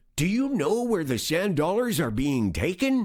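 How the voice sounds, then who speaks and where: Doing a put-on character voice, a man talks at a moderate pace in a high pitch with very wide pitch swings. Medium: read story.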